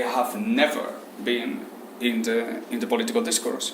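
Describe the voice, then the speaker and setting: A man speaks at a fairly slow pace with lively intonation, with audible room echo and noticeable background noise. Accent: Spanish. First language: Spanish. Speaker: Islamic economics teacher. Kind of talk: lecture. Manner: halting.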